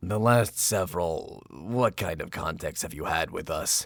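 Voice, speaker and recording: A man does a raspy, put-on character voice at a fairly low pitch. The recording is very clean, with a silent background. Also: moderate pace. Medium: audio drama. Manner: profane, aggressive.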